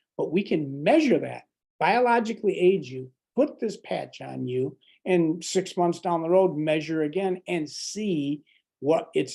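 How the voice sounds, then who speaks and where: Against a quiet background, a man talks at a fairly slow pace in a dark, mellow tone. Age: 60s. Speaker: medical doctor. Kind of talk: product presentation.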